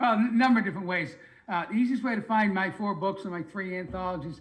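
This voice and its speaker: Speaking with a Boston accent is a man. His pitch varies in an ordinary way. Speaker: retired sales manager and author. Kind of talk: interview, self-promotion pitch. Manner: fluent, no stuttering.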